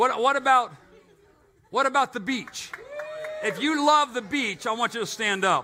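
A man projects a raised voice at an extremely high pitch and a moderate pace. He leaves long, frequent pauses, and background noise is noticeable. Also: ordinary pitch variation. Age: 60s. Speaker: pastor. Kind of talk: sermon. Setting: church. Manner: animated.

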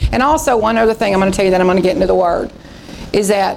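A woman with a Texas accent and fairly even intonation, over noticeable background noise. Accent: Southern US (Texas). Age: 50s. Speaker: pastor. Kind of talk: revival sermon, impassioned preaching to a congregation with call-and-response amens. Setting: church. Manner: fervent, exhortative, repetitive emphatic phrases; conversational and folksy with laughs.

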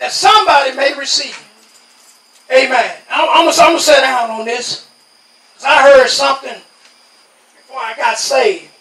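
A man with an American accent projects a raised voice at an extremely high pitch with ordinary pitch variation. He keeps a moderate pace with long, frequent pauses, and audible room echo can be heard. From New York. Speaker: lay preacher giving testimony. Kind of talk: Pentecostal revival testimony-sermon, call-and-response exhortation. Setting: outdoor tent revival. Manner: rhythmic preaching punctuated by constant amens, congregation answering; rising, insistent repetition building to fervor.

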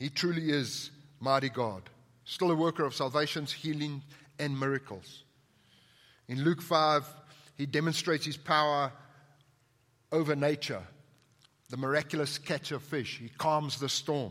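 In a very clean recording with a silent background, a man with a South African accent and a fairly high pitch speaks at a moderate pace with ordinary pitch variation and long, frequent pauses. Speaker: pastor. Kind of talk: sermon. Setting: church.

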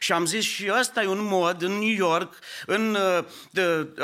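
A man talks at a very slow pace. His voice is pitched high. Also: very clean recording, silent background. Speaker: pastor. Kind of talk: sermon. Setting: church.

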